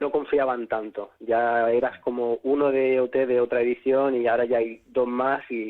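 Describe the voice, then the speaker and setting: Flat, monotone intonation at a moderate pace. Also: man. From Spain, Catalonia (Sant Boi, Barcelona). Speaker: singer. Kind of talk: interview.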